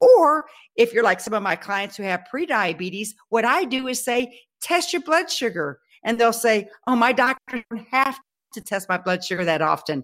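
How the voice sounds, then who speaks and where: A woman with a fairly high voice talks at a moderate pace. Her pitch swings very widely. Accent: Texan. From Texas. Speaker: health speaker and personal trainer. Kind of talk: interview.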